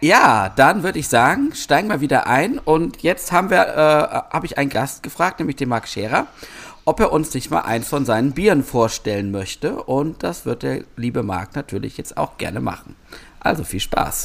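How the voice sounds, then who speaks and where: At a moderate pace, a man talks in a fairly high pitch with vocal fry and very wide pitch swings. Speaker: hobby brewer podcast co-host. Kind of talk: casual chat; on-location report. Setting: outdoors in a garden.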